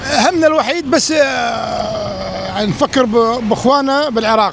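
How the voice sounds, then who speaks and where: Crowd noise sits in the background as a man talks at an extremely high pitch. His pace is fairly slow, with ordinary pitch variation. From Iraq. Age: 60s. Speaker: Iraqi emigrant interviewee. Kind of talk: street interview.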